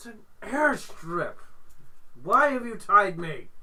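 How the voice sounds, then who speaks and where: In a put-on character voice, a man talks at a fairly slow pace with an extremely high pitch. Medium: actual play. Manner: curt, defensive.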